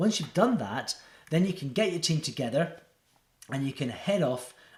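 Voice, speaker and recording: A somewhat breathy male voice with lively intonation at a moderate pace. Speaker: agile coach. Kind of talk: presentation talk to camera.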